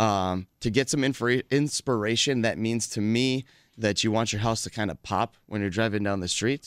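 A man with a plain, everyday voice speaks at medium pitch and a moderate pace, with fairly even intonation and an American accent, in a very clean recording with a silent background. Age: 30s. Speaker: home improvement contractor. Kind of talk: casual radio interview. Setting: studio.

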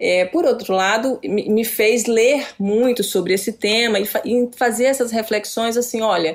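This is a woman with a plain, everyday voice. She speaks at a fairly slow pace. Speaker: journalist and researcher. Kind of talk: interview.

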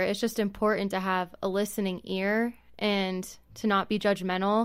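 A woman's plain, everyday voice at a medium pitch and fairly slow pace, on a very clean recording with a silent background. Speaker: panelist. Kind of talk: casual roundtable.

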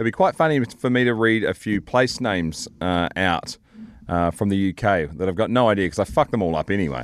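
Over a quiet background, a man with a New Zealand accent talks fairly quickly in a very deep, low voice with ordinary pitch variation. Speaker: podcast host. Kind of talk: casual chat.

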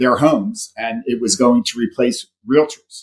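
At a moderate pace, a normal speaking voice carries lively intonation. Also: man. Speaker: business coach guest. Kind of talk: radio interview, conversational.

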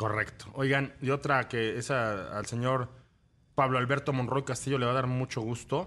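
Using a bright, sharp tone, a man with a Mexican accent speaks at a medium pitch and moderate pace with fairly even intonation. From Mexico, Cuernavaca. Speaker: radio host. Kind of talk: casual chat.

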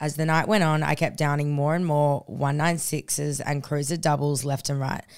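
A woman with a very deep, low pitch and an animated tone, at a moderate pace, on a very clean recording with a silent background. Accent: Australian. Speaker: podcast co-host. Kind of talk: casual chat. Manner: loud.

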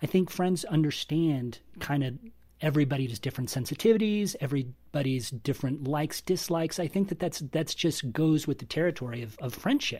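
A man speaks at a fairly quick pace in a fairly high, somewhat breathy voice with ordinary pitch variation. The recording is very clean, with a silent background. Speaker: film and media reviewer. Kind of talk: casual roundtable chat.

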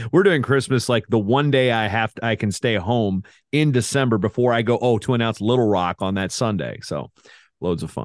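Using an unremarkable speaking voice, a man talks at a moderate pace in a medium pitch with ordinary pitch variation. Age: 40s. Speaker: wrestling announcer and broadcaster. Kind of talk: casual interview chat.

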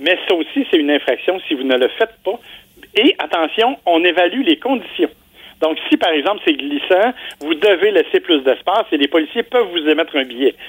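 The man's high voice moves through very wide pitch swings. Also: moderate pace, very even loudness. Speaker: car columnist. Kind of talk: radio segment commentary.

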